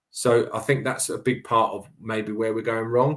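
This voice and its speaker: A man talks with a southern English accent. The recording is very clean, with a silent background. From England, Cambridge. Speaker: boxing coach. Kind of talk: interview conversation.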